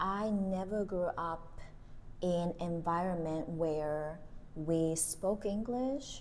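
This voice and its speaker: Through audible room echo, a woman speaks at medium pitch with ordinary pitch variation. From Japan, Tokyo. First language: Japanese. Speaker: podcast co-host. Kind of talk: casual chat.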